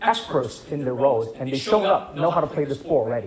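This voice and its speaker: With very wide pitch swings, a man talks fairly quickly as noticeable noise runs in the background. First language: not English. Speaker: filmmaker. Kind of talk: Q&A after film screening. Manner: hesitant, many fillers and repetitions.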